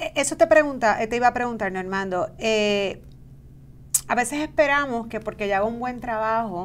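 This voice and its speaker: A woman speaks at a moderate pace with lively intonation over light background noise. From Puerto Rico. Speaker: podcast host, human resources; show host. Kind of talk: interview. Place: studio.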